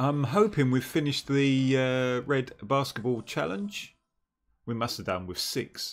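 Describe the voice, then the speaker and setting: This man speaks at a fairly slow pace. His pitch varies in an ordinary way. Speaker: gaming streamer. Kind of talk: casual game commentary. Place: home room. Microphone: headset.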